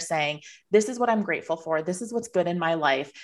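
Using a plain, everyday voice, a woman speaks at a fairly quick pace with ordinary pitch variation. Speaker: financial planning podcast host. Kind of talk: interview conversation.

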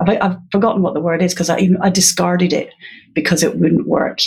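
Speaking at a fairly quick pace with a Scottish accent, a woman has a medium-pitched, somewhat breathy voice. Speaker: literacy educator. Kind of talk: interview.

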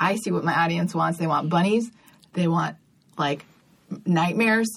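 In an American accent, a woman talks at a fairly quick pace in a fairly low, somewhat breathy voice. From California. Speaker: comedian. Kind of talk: casual chat. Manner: animated.

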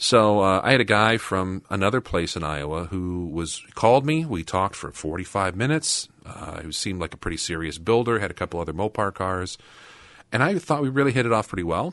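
Here a man with a plain, everyday voice speaks at a fairly quick pace and fairly low pitch. His intonation is lively, and the background is quiet. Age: 40s. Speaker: car podcast co-host. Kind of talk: reading news articles aloud; casual chat.

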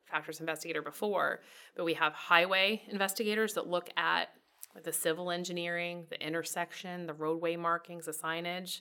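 A woman with an American accent, fairly low pitch, bright, sharp tone, fairly even intonation and fairly quick pace, in a very clean recording with a silent background. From rural Iowa, US Midwest. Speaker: highway crash investigator. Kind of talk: interview.

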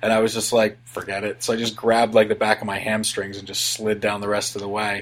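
A man rattles on at a very fast pace with hardly any pauses, in a fairly low, monotone voice with flat intonation. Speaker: podcaster, former snowboard instructor. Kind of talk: casual chat.

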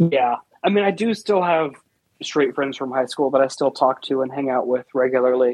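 A man with a plain, everyday voice at a medium pitch, ordinary pitch variation, and a moderate pace. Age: 20s. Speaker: IT worker and social media personality. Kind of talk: casual chat.

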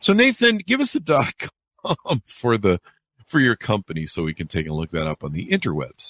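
A man talks at a moderate pace. The sound is close and dry, without any echo. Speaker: podcast host. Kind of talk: interview podcast. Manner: energetic.

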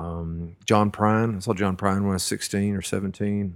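A man with a Texan accent speaks at a fairly low pitch on a very clean recording with a silent background. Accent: Texan American. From Central Texas (Washington County). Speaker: singer-songwriter. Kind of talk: casual interview conversation. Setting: living room. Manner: hesitant, many fillers and restarts.

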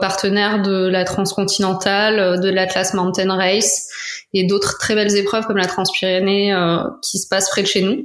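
A woman's voice at medium pitch and a moderate pace. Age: 30s. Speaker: cycling blogger and influencer. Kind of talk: casual interview. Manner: hesitant, many fillers.

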